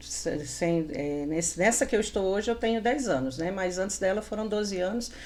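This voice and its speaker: A woman speaks at a medium pitch with lively intonation. Noticeable background noise runs beneath her. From Paraíba, northeastern Brazil. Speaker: retail salesperson and store manager. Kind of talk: interview.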